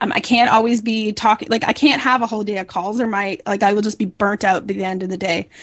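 The speech runs at a very fast pace with hardly any pauses and fairly even intonation over noticeable background noise. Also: woman, fairly high pitch for a woman. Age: 40s. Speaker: marketing agency founder. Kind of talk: interview.

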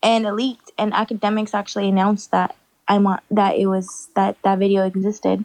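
Speaking at a fairly quick pace, a woman keeps a medium pitch, a monotone, flat intonation and very even loudness, in a dry, close sound with no echo. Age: 20s. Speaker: social media personality. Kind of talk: casual chat.

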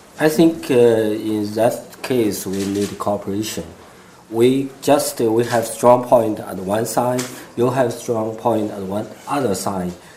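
Against noticeable background noise, a man with a medium pitch speaks at a very slow pace. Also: ordinary pitch variation. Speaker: solar energy company founder. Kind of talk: panel interview.

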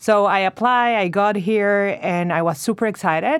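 In a very clean recording with a silent background, a woman with a Venezuelan accent speaks with ordinary pitch variation. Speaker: MBA student, expecting mother. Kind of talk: casual interview chat.

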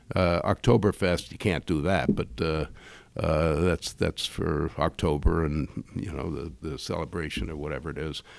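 In an American accent, a man speaks with a very deep, low pitch and vocal fry. The recording is very clean, with a silent background. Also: ordinary pitch variation, moderate pace. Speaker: brewery owner. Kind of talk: casual interview.

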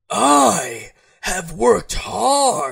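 The speaker uses a put-on character voice and talks very slowly. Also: man. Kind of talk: comic overacting. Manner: menacing, theatrical.

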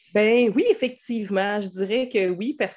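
In a Quebec accent, a woman speaks with ordinary pitch variation. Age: 30s. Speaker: hairdresser and stay-at-home mother. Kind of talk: casual interview.

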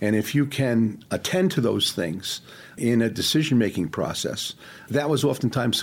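A man talks with lively intonation at a moderate pace, in a normal speaking voice. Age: 60s. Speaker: leadership consultant. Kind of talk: interview.

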